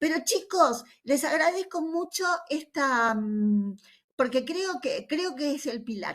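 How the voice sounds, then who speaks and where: Very slowly, a woman speaks at a high pitch with a Rioplatense accent. Her pitch swings very widely. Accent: Argentine Rioplatense Spanish. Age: 60s. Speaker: nursing teacher. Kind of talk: conference discussion remarks. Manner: halting, many fillers; conversational.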